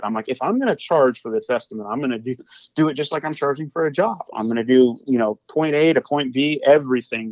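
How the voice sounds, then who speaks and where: A man talks at a very fast pace with an American accent. The sound is dry and close, with no echo. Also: medium pitch for a man, ordinary pitch variation. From Kansas City area, US Midwest. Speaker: hardwood flooring business owner. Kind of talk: casual podcast interview. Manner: repeats words and restarts sentences often.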